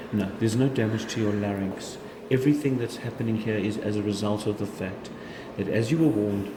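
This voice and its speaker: Noticeable background noise runs under a man whose fairly low voice moves at a fairly quick pace with fairly even intonation. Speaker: laryngologist. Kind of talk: doctor explaining diagnosis to patient.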